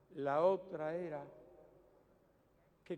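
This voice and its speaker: A man speaks with a Cuban accent. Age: 70s. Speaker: political leader. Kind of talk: public political speech. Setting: outdoors.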